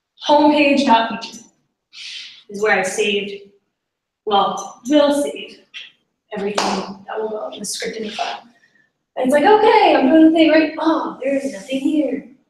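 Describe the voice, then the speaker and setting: Amid audible room echo, a woman with a high voice speaks at a moderate pace, with very wide pitch swings, big swings in loudness, and long, frequent pauses. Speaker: coding bootcamp graduate presenting a project. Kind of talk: tech presentation.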